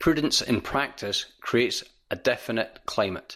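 A man with a Central Belt Scottish accent, bright and sharp in tone, at medium pitch with ordinary pitch variation, in a very clean recording with a silent background. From Scotland. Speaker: volunteer reader of recovery readings. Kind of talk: reading aloud of recovery texts and prayer, solemn and devotional.

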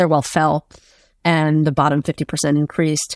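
The woman has an unremarkable speaking voice, fairly low in pitch, at a moderate pace. The recording is very clean with a silent background, and the sound is dry and close with no echo. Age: 30s. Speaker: journalist and author. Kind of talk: interview.

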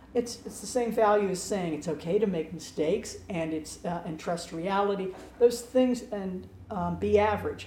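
The woman's intonation is lively and her pace moderate, with noticeable background noise behind her. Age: 70s. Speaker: improv and mindfulness teacher. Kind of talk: casual interview conversation.

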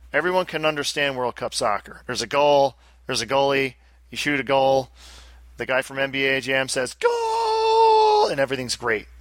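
At a moderate pace, a man speaks with a strong upstate New York accent. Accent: Albany upstate New York, thick. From Albany, upstate New York. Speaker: podcast host. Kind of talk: casual banter, podcast chat.

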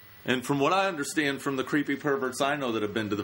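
Over noticeable background noise, a man talks very fast at medium pitch, his voice swinging very widely in pitch. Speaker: podcast host. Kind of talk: casual comedic chat. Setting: studio. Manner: casual, joking, profane.

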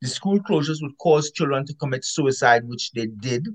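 A man with a fairly high pitch sounds somewhat breathy in a dry, close recording with no echo. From Caribbean. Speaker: epidemiologist author. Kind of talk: interview. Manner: emphatic.

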